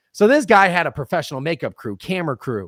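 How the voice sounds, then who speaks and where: A loud man talks at a very fast pace in a high, animated voice with very wide pitch swings. The sound is dry and close with no echo, on a very clean recording with a silent background. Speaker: real estate content advisor. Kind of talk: podcast interview.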